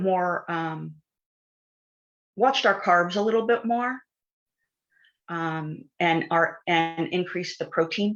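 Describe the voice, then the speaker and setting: Speaking at a very slow pace, a woman keeps a medium pitch with ordinary pitch variation. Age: 60s. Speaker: wellness product user sharing results. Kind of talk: testimony. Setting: livestream.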